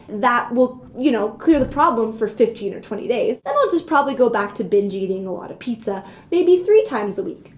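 An animated, dramatic woman at a fairly high pitch and moderate pace, with lively intonation, big swings in loudness and hardly any pauses. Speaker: video blogger ranting comedic. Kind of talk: comedic rant, vlog-style casual monologue. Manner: animated, exaggerated, mock-dramatic; sarcastic, playful, self-joking. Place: office. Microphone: webcam.

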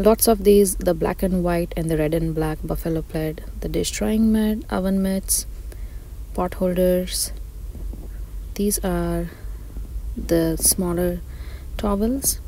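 A woman speaks at a very slow pace with long, frequent pauses, the sound dry with no echo and light background noise behind her. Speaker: shopping vlogger. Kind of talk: casual shop-along commentary. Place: shop.

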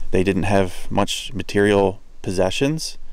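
A man with fairly even intonation, in a dry sound with no echo. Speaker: explorer vlogger. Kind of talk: casual vlog commentary. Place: forest. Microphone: phone near.

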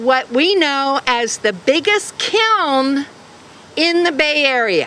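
A woman speaks very slowly in a raised, projected voice with very wide pitch swings. Light background noise can be heard. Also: dry sound with no echo. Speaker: speaker. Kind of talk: rally speech. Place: street. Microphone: podium.

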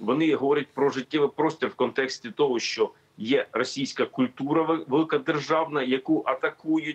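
A man speaks at a moderate pace. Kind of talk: interview answer. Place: office. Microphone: video call.

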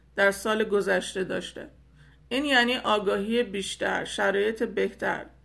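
A woman's fairly slow, fairly even delivery with vocal fry. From Iran. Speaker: spiritual teacher. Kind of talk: spiritual talk to followers. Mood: hopeful, reassuring. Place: home room. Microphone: phone near.

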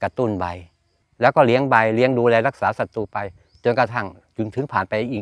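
An ordinary speaking voice from a man, with ordinary pitch variation and a dry, close sound with no echo. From eastern Thailand, Chanthaburi. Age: 60s. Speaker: farmer. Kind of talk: interview.

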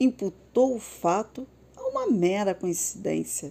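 In a gentle, warm tone, a woman with a Brazilian accent speaks at a very slow pace. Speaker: storyteller narrator. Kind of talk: bedtime story narration, read aloud. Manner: soft, slow and soothing; gentle, lilting and dreamy, with warm storybook expression.

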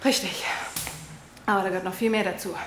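There is audible room echo as a woman talks at a very fast pace. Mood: deadpan comedic explanation. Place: hall.

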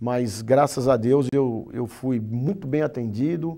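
Over a quiet background, a man with a medium pitch and a dark, mellow tone speaks very slowly, his pitch varying in an ordinary way. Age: 50s. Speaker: business association director; interview guest. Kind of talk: interview. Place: studio. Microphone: lapel.

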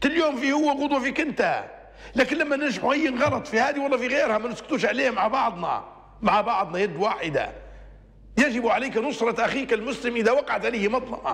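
An animated tone with ordinary pitch variation comes through in a Libyan accent. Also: man. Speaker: religious TV presenter; TV presenter. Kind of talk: religious talk show monologue. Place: studio. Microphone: lapel.

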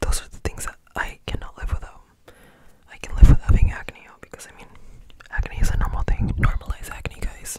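Whispering at a fairly quick pace, a man breaks his speech with long, frequent pauses. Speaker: ASMR creator. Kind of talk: ASMR chit chat. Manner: whispered. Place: home room. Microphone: studio mic.

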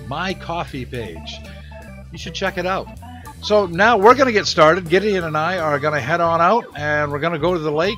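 Faint music plays in the background as a man speaks at a moderate pace in a high pitch. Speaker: channel host. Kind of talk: casual vlog chat. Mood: relaxed, friendly. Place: home room. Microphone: studio mic.

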